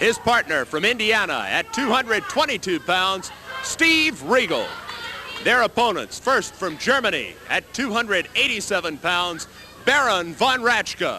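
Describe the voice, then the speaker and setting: A man's extremely high, raised and projected voice with lively intonation at a fairly slow pace, over noticeable background noise. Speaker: wrestling TV host. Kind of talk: ring announcer introductions.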